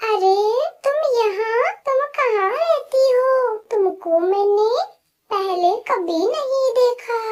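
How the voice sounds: A squeaky, cartoonish character voice from a woman, extremely high in pitch and very slow in pace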